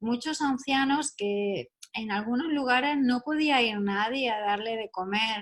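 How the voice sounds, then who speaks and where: The speaker talks at a very slow pace, with a Spanish accent. The pitch varies in an ordinary way. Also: woman. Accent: Spanish (Spain). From Spain. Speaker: neuropsychologist. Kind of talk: radio interview.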